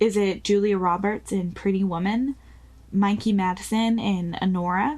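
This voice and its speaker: A somewhat breathy woman speaks at medium pitch with ordinary pitch variation. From New Zealand. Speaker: podcast host. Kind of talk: scripted narration.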